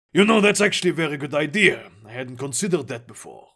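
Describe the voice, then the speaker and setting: A man's put-on character voice, raspy and fairly high, with lively intonation at a very fast pace, on a very clean recording with a silent background. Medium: read story. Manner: eccentric, self-assured.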